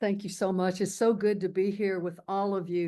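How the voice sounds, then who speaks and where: A woman speaks in a Kentucky accent at medium pitch. Her pace is moderate, and the background is quiet. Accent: Kentucky Southern. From rural Kentucky. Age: 70s. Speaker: activist. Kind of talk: public talk.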